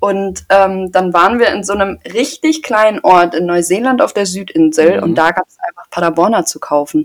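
This woman has a plain, everyday voice at a medium pitch, with lively intonation and big swings in loudness. She talks at a moderate pace with hardly any pauses. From Germany, Paderborn (Westphalia). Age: 20s. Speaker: podcast co-host, trainee. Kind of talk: casual chat.

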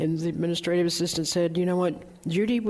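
Talking at a fairly quick pace, a woman with a Southern US accent has a fairly low pitch. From North Carolina. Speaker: search firm founder and chairman. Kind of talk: interview conversation. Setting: stage with live audience.

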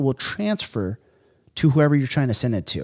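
A man with an American accent has an unremarkable speaking voice, pitched fairly high, with lively intonation. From US West Coast, San Francisco. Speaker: entrepreneur, former police officer. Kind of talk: casual interview.

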